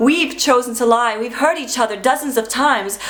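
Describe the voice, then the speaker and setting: The woman has an ordinary speaking voice pitched fairly high. She talks at a moderate pace with ordinary pitch variation. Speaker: spoken word poet. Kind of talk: spoken word poetry performance.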